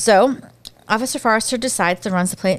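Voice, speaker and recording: With an American accent, a woman talks with ordinary pitch variation. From US, Pennsylvania (Bucks County, near Philadelphia). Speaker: podcast host. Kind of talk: casual chat.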